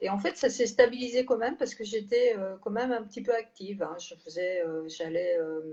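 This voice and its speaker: At a moderate pace and with hardly any pauses, a woman speaks at a fairly high pitch with ordinary pitch variation and big swings in loudness. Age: 60s. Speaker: health care manager, former nurse. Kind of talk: testimony. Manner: halting, many hesitations.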